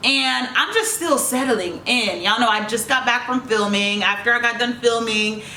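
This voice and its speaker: A slight Jamaican accent comes through with ordinary pitch variation. Audible room echo and noticeable background noise fill the recording. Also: woman. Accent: slight Jamaican tinge. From New York (Queens), Jamaican family. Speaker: YouTuber, reality TV personality. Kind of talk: casual Q&A vlog. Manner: stern-sounding tone.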